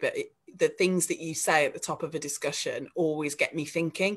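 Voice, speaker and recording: A woman with a West Midlands accent at a very fast pace. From West Midlands, England (Dudley). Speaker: local politician. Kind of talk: panel discussion.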